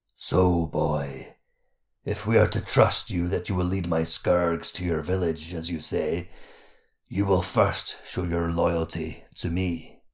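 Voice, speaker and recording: In a booming, put-on character voice, a man speaks very deep and low at a fairly slow pace. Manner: mocking, sly, commanding, sometimes rhyming.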